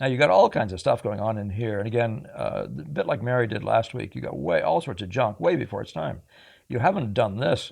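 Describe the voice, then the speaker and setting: Speaking at a fairly quick pace, a man uses lively intonation with vocal fry. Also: medium pitch for a man. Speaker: painting teacher. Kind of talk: critique tutorial. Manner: fast; hesitant, filler words.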